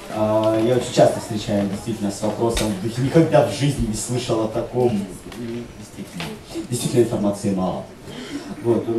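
A man's speech with long, frequent pauses, audible room echo and noticeable background noise. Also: ordinary pitch variation, moderate pace. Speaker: writer. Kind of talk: panel discussion. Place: hall.

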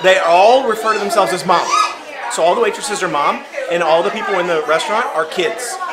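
The speech moves at a very fast pace. Crowd noise can be heard in the background. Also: man. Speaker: travel vlogger. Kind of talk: casual vlog review chat. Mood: amused, chatty. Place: cafe. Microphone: phone near.

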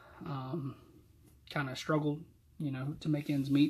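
This man's voice is somewhat breathy, with a fairly high pitch. He speaks in a Southern US accent. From US South, Georgia. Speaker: church deacon and Sunday school teacher. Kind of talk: youth Bible study talk and testimony. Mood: calm, reflective. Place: home room. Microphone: webcam.

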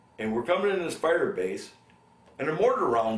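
The voice moves through very wide pitch swings amid audible room echo. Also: man. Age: 70s. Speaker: Vietnam war veteran. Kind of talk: oral history interview. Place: home room.

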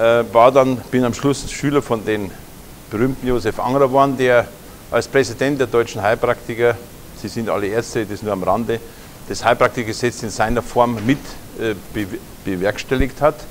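A man with a Munich accent talks at a moderate pace with fairly even intonation, leaving long, frequent pauses. Light background noise is audible. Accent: Bavarian (Munich). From Lower Bavaria, Germany. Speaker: naturopath. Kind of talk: conference lecture. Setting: lecture hall with audience. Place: hall. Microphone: lapel.

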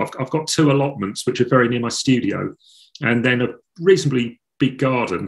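Against a quiet background, a man with an Essex accent talks at a moderate pace. He sounds somewhat breathy and uses ordinary pitch variation. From England, north Essex coast. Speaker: painter; interviewee. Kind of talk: interview. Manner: halting. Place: home room. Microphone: video call.

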